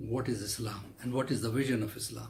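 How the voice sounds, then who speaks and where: A somewhat breathy male voice with audible room echo. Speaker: Islamic cleric and lecturer. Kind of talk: religious lecture.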